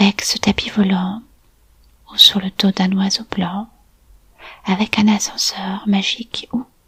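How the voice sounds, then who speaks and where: Against noticeable background noise, a woman speaks in a calm, soothing tone at a very slow pace, her monotone, flat intonation broken by long, frequent pauses. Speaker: hypnotic storyteller and art therapist. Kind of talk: guided meditation for children and families. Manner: calm, slow, soothing.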